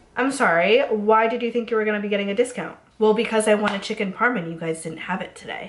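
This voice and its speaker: Over noticeable background noise, a woman with a fairly high pitch talks at a very fast pace in an animated tone, with hardly any pauses. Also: ordinary pitch variation. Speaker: server and bartender, beauty youtuber. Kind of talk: casual storytime rant to camera. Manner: chatty, animated, sarcastic.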